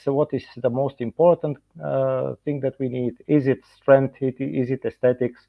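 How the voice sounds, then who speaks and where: Here a man with a Bulgarian accent speaks at a medium pitch and a moderate pace. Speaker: dentist and professor. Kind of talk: lecture. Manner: halting, many fillers.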